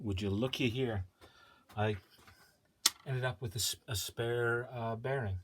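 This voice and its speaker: A man speaks with a medium pitch and fairly even intonation. His voice is somewhat breathy. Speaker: DIY hobbyist building a CNC machine. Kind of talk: casual tutorial. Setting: small home workshop. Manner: halting.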